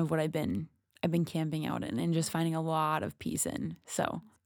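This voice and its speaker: On a very clean recording with a silent background, a woman with an Upper Midwest accent talks at a moderate pace in a fairly low pitch. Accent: Upper Midwest American. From Minnesota, US Midwest. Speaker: podcast co-host. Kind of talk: casual chat.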